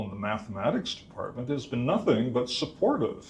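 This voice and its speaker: This man's voice sits at a medium pitch and shows ordinary pitch variation. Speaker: mathematics instructor. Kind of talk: conference talk. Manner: loud.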